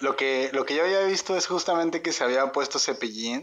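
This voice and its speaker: At a fairly slow pace and with ordinary pitch variation, a man with a Mexican accent speaks against a quiet background. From Mexico. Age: 20s. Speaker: podcast co-host. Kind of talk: casual chat.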